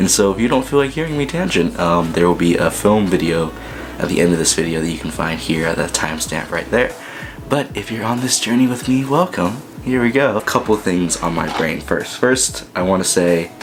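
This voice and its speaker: Music plays behind a man with a fairly low pitch. He talks at a fairly quick pace with lively intonation. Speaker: filmmaker and vlogger. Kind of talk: casual vlog monologue. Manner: fast.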